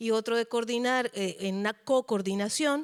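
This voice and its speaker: Recorded very cleanly against a silent background, a woman speaks with a high pitch. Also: dry, close sound with no echo. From Colombia. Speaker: cultural manager. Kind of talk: lecture. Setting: auditorium.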